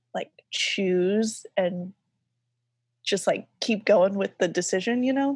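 A woman's somewhat breathy voice at a very slow pace, with ordinary pitch variation and a dry, close sound with no echo. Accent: American. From US South. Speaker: graphic designer and artist. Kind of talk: casual interview chat.

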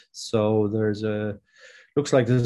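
Speaking in a Dublin accent, a man with a fairly low voice keeps a moderate pace and a monotone, flat intonation. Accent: Dublin Irish. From Ireland, Dublin. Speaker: farmer. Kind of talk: interview. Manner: hesitant, many fillers.

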